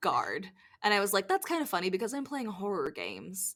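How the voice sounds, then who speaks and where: Speaking at a fairly quick pace, a woman uses a raised, projected voice and an animated tone in a very clean recording with a silent background. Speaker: podcast co-host. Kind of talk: casual chat.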